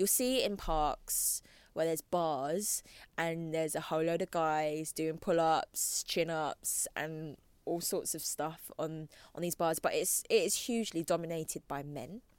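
A fairly low-pitched woman's voice in a London accent, fairly slow in pace with ordinary pitch variation, on a very clean recording with a silent background. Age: 30s. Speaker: fitness trainer and blogger. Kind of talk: casual interview chat.

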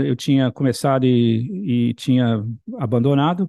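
A man talks at a fairly slow pace. His pitch shows ordinary variation. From Brazil, Bahia. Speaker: composer and professor. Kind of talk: interview. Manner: halting, repetitive.

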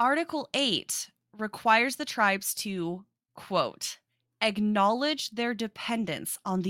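In an American accent, a woman speaks very slowly at a fairly high pitch, her tone bright and sharp and her intonation lively. The sound is dry and close with no echo, on a very clean recording with a silent background. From South Dakota, US. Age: 20s. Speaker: podcast co-host. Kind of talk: casual chat.

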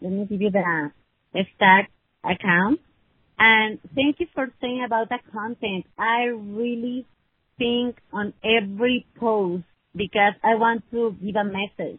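The speaker has a Spanish accent and ordinary pitch variation. The pace is very slow. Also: woman, fairly high pitch for a woman. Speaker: attorney. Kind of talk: casual chat. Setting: phone call.

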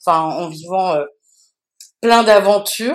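A woman speaks with fairly even intonation. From France. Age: 40s. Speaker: DJ and activist. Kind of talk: casual interview. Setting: remote recording. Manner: halting, many fillers and repetitions.

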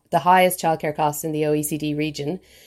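A woman with an Irish accent talks very fast in a flat, monotone way, on a very clean recording with a silent background. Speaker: newspaper features writer. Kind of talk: news podcast interview.

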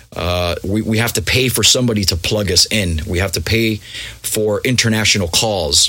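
A man speaks at a moderate pace in an American accent, with noticeable background noise present. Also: fairly low pitch for a man, ordinary pitch variation. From Miami, US. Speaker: DJ and music producer. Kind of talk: casual interview chat. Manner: halting, many repetitions.

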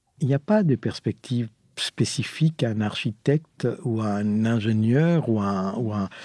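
Recorded dry and close with no echo against a silent background, a man talks at a medium pitch with a dark, mellow tone and ordinary pitch variation. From Chile and Argentina. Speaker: architect. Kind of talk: interview. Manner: halting.

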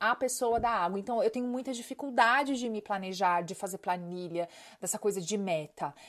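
A woman speaking at a moderate pace, animated in tone with lively intonation, in a very clean recording with a silent background. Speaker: podcast host and life coach. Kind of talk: casual monologue.

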